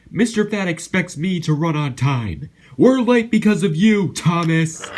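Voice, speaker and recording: A man speaks at a moderate pace in a high pitch. He uses a put-on character voice. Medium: read story. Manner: grumbling, proud.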